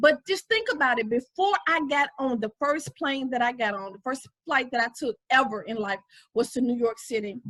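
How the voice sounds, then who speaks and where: A woman in a raised, projected voice speaks at a moderate pace with a passionate, bright, sharp tone and very wide pitch swings. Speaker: faith-based women's relationship vlogger. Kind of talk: motivational devotional talk.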